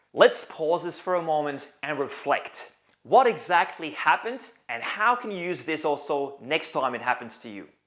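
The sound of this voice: The pitch swings widely in a fairly bright tone, moving at a moderate pace with few pauses. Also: man, fairly high pitch for a man.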